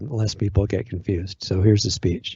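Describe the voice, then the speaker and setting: Intonation here stays fairly even. The voice has a somewhat breathy quality. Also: man. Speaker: online radio host.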